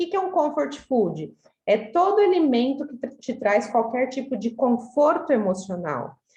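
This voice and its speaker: A woman speaks at a high pitch, her voice making very wide pitch swings. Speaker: weight-loss coach. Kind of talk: online group talk.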